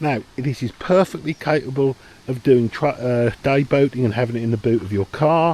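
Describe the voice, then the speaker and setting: The man talks at a moderate pace with a medium pitch and ordinary pitch variation. The sound is dry and close, with no echo. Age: 60s. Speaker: boating video creator. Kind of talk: tutorial. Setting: outdoors. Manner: casual, hesitant with fillers.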